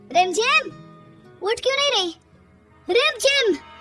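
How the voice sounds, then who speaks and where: A woman speaks in a put-on character voice at a moderate pace, with faint music in the background. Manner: shouting, frantic.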